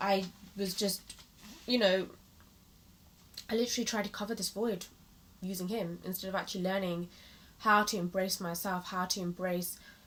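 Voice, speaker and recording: A woman with a British accent speaks at a medium pitch and a moderate pace. Her long pauses come often. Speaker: motivational vlogger. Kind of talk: personal vlog monologue. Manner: animated.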